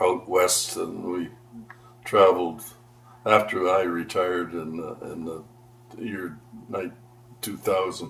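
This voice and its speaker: A man's very deep, low voice with a Canadian accent, very slow and fairly even in intonation, full of long, frequent pauses and big swings in loudness, over noticeable background noise. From Ontario, Canada (Aurora). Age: 80s+. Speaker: longtime local resident. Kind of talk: oral history interview. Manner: halting.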